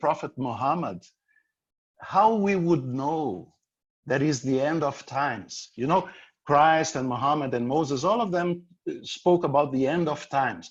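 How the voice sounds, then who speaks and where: A fairly slow, fairly high-pitched man's voice with a Brazilian Portuguese accent, lively intonation and long, frequent pauses, against a quiet background. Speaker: author and speaker. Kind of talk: presentation with Q&A.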